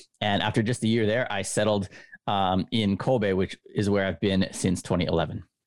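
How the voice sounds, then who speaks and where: With a Canadian accent, a man talks at a moderate pace in a fairly low voice with fairly even intonation and very even loudness, on a very clean recording with a silent background. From Canada, Winnipeg. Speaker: baseball writer. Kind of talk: casual chat.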